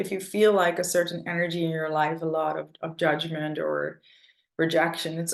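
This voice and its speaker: Her voice is fairly low for a woman and carries vocal fry. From northern Netherlands. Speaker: mentor, artist and coach. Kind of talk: interview. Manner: casual, many fillers.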